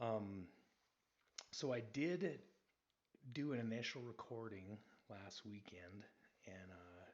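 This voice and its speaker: Very slow delivery with long, frequent pauses, ordinary pitch variation and audible room echo. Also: man, fairly low pitch for a man. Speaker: sports podcaster. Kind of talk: casual podcast monologue. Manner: says um a lot.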